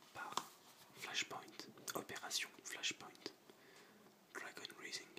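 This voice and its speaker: Noticeable background noise sits behind whispering that moves at a very slow pace. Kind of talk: ASMR video game collection presentation. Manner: whispered.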